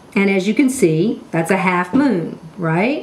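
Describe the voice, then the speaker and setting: A woman speaks at a very slow pace with lively intonation. Light background noise can be heard. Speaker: cooking instructor. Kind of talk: tutorial. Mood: warm, enthusiastic. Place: kitchen.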